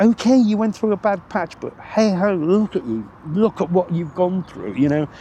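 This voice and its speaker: A man with a British accent speaks at a high pitch and a moderate pace. His intonation is lively, and he takes hardly any pauses. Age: 60s. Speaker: interviewee, road accident survivor. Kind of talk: casual chat. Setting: outdoors on a park bench. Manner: halting, many repetitions.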